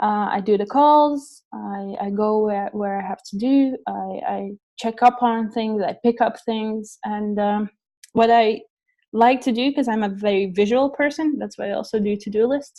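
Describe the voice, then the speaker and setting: Fairly even intonation from a woman with a fairly high pitch, a dark, mellow tone and a moderate pace. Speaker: webinar trainer. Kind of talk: online training webinar.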